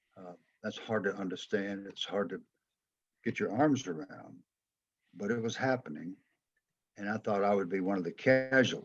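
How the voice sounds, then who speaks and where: Music plays in the background as a man with an American accent talks at a moderate pace, using ordinary pitch variation and long, frequent pauses. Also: fairly low pitch for a man. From US South, Atlanta, Georgia. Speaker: former football player and coach. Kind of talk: interview.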